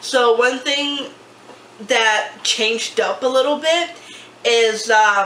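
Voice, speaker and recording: A woman with a fairly high pitch is heard with audible room echo. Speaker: YouTuber. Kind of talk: casual chat. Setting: at a table with tripod camera.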